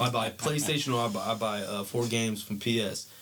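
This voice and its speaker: A man with an American accent against noticeable background noise. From San Diego County, California. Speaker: former football player. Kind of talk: podcast interview, life story. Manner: casual, slangy.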